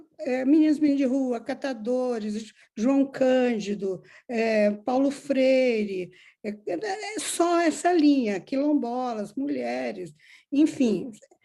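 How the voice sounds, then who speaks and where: A woman speaks at a high pitch with a dark, mellow tone. She goes at a very slow pace with lively intonation. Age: 70s. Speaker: filmmaker. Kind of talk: interview. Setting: video call.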